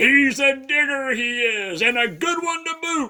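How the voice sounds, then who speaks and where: At a fairly slow pace, a man in a put-on character voice talks with an extremely high pitch. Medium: read story. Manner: loud, gruff pirate talk.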